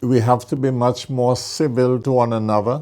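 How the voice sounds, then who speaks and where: At a moderate pace, the voice has a dark, mellow tone and a monotone, flat intonation on a very clean recording with a silent background. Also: man. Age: 70s. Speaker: lawyer and TV presenter. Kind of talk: public service commentary. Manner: formal.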